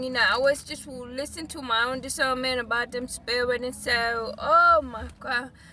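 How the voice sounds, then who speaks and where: A woman talks in a raised, projected voice with an animated, bright, sharp tone. Her pitch is high and she leaves hardly any pauses. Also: big swings in loudness. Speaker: life, business and spiritual coach. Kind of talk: casual vlog monologue.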